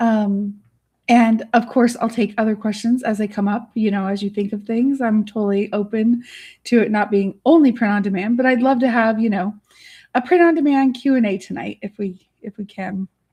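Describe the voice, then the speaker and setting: A woman with a fairly high pitch and a dark, mellow, somewhat breathy tone speaks at a moderate pace. Her pitch varies in an ordinary way against a quiet background. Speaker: artist and online business educator. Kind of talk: livestream Q&A. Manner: soft; chatty, bubbly.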